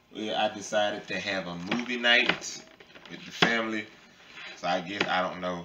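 Over loud background noise, a man with a fairly low pitch speaks at a moderate pace with fairly even intonation, big swings in loudness, and long, frequent pauses. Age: 30s. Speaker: family vlogger. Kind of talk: casual chat. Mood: cheerful, pleased. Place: home room.

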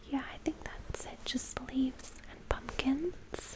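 A woman is whispering in a gentle tone. She speaks at a very slow pace. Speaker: home lifestyle creator. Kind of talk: casual vlog chat. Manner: soft-spoken, gentle, hushed ASMR voice. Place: home room. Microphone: studio mic.

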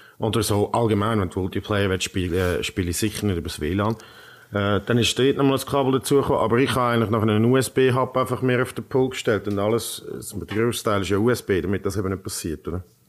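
This man talks at a very fast pace, his fairly low voice showing ordinary pitch variation. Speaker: tech podcast host. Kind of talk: casual chat.

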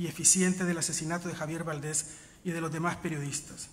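A man's high-pitched voice at a very fast pace with fairly even intonation. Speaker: journalist giving a tribute speech. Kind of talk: solemn tribute speech. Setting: stage with audience. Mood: solemn, indignant. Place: stage. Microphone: podium.

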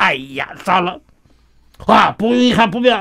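A man with a high pitch speaks very slowly in a raised, projected voice with a bright, sharp tone. His pitch swings very widely, and the background is quiet. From Shanghai, moved to Taiwan at 17. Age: 90s. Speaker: retired professor and novelist; interview guest. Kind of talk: radio interview. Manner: halting with many fillers. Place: studio. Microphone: studio mic.

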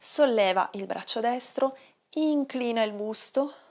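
Over a quiet background, a woman speaks at a very slow pace with ordinary pitch variation. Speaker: yoga instructor. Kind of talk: guided exercise instruction. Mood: calm, soothing. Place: home room.

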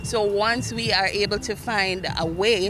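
Noticeable background noise accompanies a woman whose sound is dry, with no echo. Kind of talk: interview answer. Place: street. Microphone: handheld.

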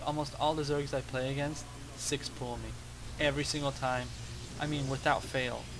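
A man's voice carries audible room echo as he talks at a moderate pace. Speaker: gaming video creator. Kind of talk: gameplay commentary. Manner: hesitant with many fillers. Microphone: cheap microphone with noise.

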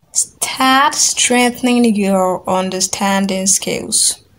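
A woman with a Nigerian accent talks at a very slow pace. Her voice is somewhat breathy, with fairly even intonation. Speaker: business English coach. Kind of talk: tutorial. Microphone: phone near.

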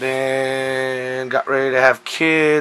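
With fairly even intonation, a man speaks in a bright, sharp tone. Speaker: collector showing pickups. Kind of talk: casual talk to camera. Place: home room. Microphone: camera far.

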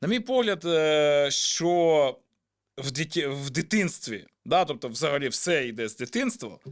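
A man's fairly high voice with lively intonation, at a very slow pace. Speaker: podcast host. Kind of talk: casual chat.

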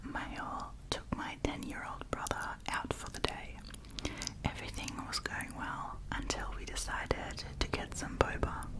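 Soft-spoken and whispering, a woman talks at a fairly slow pace over loud background noise. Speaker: ASMR storyteller. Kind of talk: reading stories aloud softly. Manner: soft close-mic whisper, storytelling. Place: home room. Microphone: studio mic.

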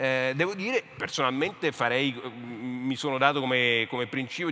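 This is an unremarkable speaking voice. Its pitch variation is ordinary. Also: man. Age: 50s. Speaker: literature professor and author; speaker. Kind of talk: panel discussion. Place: stage. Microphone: headset.

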